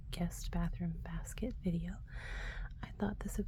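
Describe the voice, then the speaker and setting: A soft-spoken woman talks with an American accent. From Texas, USA. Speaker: ASMR creator. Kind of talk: ASMR talk to camera, casual product show-and-tell.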